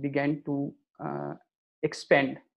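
With an Indian accent, a man speaks at a fairly high pitch. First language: Maithili. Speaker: author and academic. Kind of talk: interview. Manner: halting.

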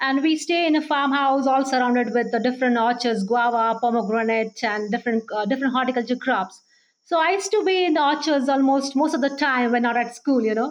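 This woman talks at a fairly quick pace in a high voice, with ordinary pitch variation, very even loudness and hardly any pauses. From India, Maharashtra (Baramati, Pune district). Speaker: plant breeder, scientist. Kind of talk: interview.

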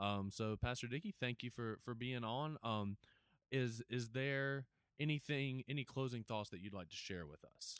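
This is a normal speaking voice from a man at medium pitch, with ordinary pitch variation, a moderate pace and a dry, close sound with no echo. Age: 20s. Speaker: podcast producer and interviewer. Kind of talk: interview conversation.

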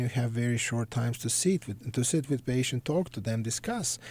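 Somewhat breathy, a man with a Serbian accent and a dark, mellow tone speaks with ordinary pitch variation in a very clean recording with a silent background. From Serbia (Belgrade). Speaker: psychiatrist. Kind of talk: interview.

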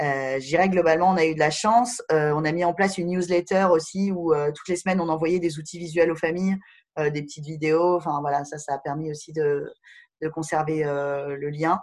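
Fairly even intonation marks the speech of a woman whose pitch is very deep and low. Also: moderate pace. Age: 30s. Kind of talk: interview. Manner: halting, many fillers.

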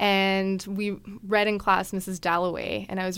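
A woman's unremarkable speaking voice with a Canadian accent, medium in pitch and fairly slow. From Calgary, Alberta, Canada. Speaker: writer. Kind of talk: casual interview chat.

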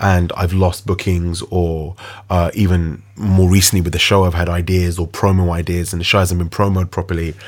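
Very deep and low, a man's voice holds a monotone, flat intonation. He keeps to a moderate pace. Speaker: DJ and radio show host. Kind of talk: casual chat.

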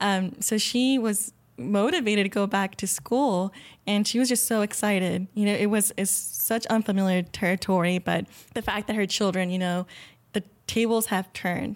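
A woman with an American accent has an unremarkable speaking voice at medium pitch, with ordinary pitch variation and very even loudness. She keeps a moderate pace on a very clean recording with a silent background. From Rio Grande Valley, South Texas. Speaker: medical center employee, scholarship alumna. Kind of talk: interview conversation.

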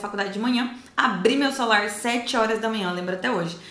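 A woman's fairly high voice with audible room echo and noticeable background noise. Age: 20s. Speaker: online course creator. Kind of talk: testimony.

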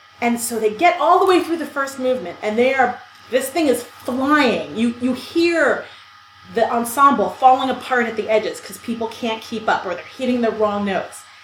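Over noticeable background noise and audible room echo, a woman with an American accent speaks at a moderate pace in a high pitch, with lively intonation and big swings in loudness. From US, New York City (Brooklyn). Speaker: podcast co-host. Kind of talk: casual chat.

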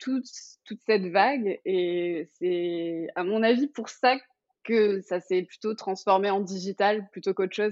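A woman with a medium pitch and ordinary pitch variation talks at a fairly slow pace. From Paris region, France. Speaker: fashion influencer. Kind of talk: casual interview. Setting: remote recording.

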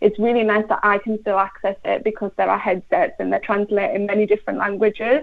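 A woman speaks with an English accent. Her pitch sits fairly high. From England. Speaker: primary school teacher. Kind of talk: live radio interview.

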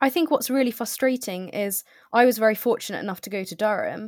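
A woman with a normal speaking voice, fairly high pitch, ordinary pitch variation and a moderate pace, on a very clean recording with a silent background. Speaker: recent graduate. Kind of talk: interview.

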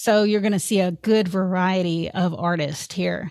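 A woman talks at a medium pitch with a Tennessee accent. The recording is very clean, with a silent background. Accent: Southern US (Tennessee). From Memphis, Tennessee (US South). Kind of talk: interview conversation.

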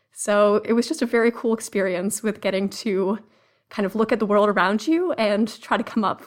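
In a normal speaking voice, a woman with an American accent talks at a moderate pace, her pitch fairly high and varying in an ordinary way. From Massachusetts (Cambridge). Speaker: research analyst. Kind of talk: podcast interview.

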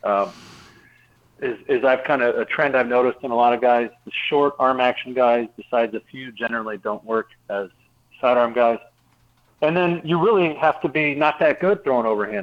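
A man speaks at a moderate pace in an unremarkable speaking voice. His pitch sits in the medium range, with ordinary variation. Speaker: retired baseball pitcher. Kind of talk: radio interview.

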